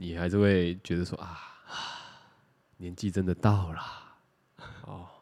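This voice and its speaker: Male speech, very clean recording, silent background. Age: 30s. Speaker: podcast co-host. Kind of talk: casual chat.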